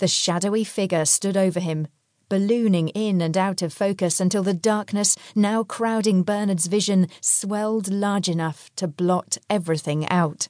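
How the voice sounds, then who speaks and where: A woman's dramatic tone at medium pitch, with fairly even intonation and a moderate pace. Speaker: audiobook narrator. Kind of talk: scripted audiobook narration. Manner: dramatic, suspenseful; measured, expressive storytelling.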